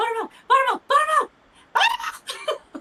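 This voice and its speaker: Shouting in a put-on character voice at an extremely high pitch and a moderate pace. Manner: excited, calling out.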